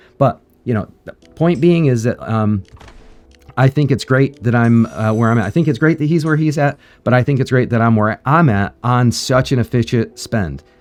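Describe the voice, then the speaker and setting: A man at a moderate pace, medium-pitched, with ordinary pitch variation and music playing behind him. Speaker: mobile game streamer. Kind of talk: casual gameplay commentary. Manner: halting, many fillers.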